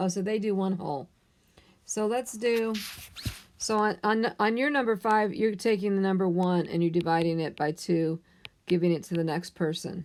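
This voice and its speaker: In an ordinary speaking voice, a woman of medium pitch talks at a moderate pace with ordinary pitch variation and very even loudness. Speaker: math teacher. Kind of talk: tutorial. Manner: casual, conversational.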